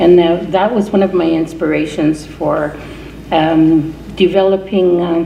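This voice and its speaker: Amid noticeable background noise, a woman with a fairly low pitch talks at a fairly slow pace in a monotone, flat intonation. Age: 70s. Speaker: reverend and peace activist. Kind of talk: award acceptance speech.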